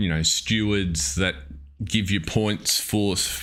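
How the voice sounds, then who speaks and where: A man with an Australian accent at a very slow pace, in a very clean recording with a silent background. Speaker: gaming live streamer. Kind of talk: live stream commentary. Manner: casual, hesitant with fillers.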